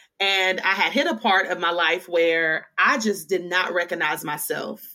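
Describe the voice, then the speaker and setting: The tone is bright and sharp, and the pace fairly slow. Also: woman. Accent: Southern US. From Western Kentucky. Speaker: author, speaker and preacher. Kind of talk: testimony.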